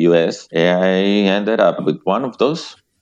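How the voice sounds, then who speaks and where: The speaker has a Spanish accent and a moderate pace. Intonation stays fairly even. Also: man. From northern Mexico, near US border. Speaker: sales manager. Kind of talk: interview. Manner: calm; halting, repeats words.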